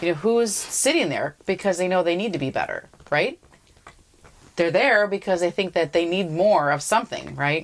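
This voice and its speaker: Noticeable background noise sits behind a woman who talks at a medium pitch and a moderate pace, using ordinary pitch variation. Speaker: podcast co-host. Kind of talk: casual commentary chat.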